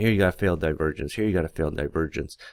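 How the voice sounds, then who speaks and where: A man's very deep, low voice with vocal fry at a very fast pace, on a very clean recording with a silent background. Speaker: futures day trader. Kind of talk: market analysis screen recording. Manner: casual, hesitant.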